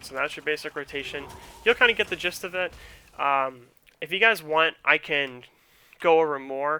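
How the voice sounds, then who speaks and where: With a bright, sharp tone and fairly high pitch, a man speaks with ordinary pitch variation, big swings in loudness and long, frequent pauses, in a dry, close sound with no echo. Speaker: gaming streamer. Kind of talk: tutorial. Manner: fast; halting.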